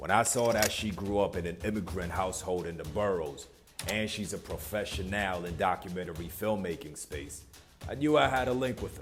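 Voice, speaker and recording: Music plays in the background while a man with a very deep, low pitch talks at a fairly quick pace with ordinary pitch variation. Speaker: podcast host. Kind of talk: podcast intro narration.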